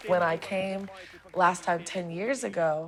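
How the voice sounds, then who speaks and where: Over noticeable background noise, a woman talks in a fairly low pitch with an American accent. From New Orleans, USA. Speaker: singer-songwriter. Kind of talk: interview answer.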